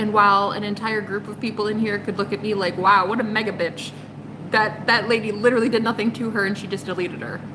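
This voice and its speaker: Amid noticeable background noise and audible room echo, a woman talks very fast at a medium pitch. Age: 30s. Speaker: tarot reader. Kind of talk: live stream chat with viewers. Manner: animated.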